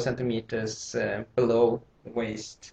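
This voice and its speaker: This is a man talking in a non-native accent. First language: not English. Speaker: sewing instructor. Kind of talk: tutorial. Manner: halting.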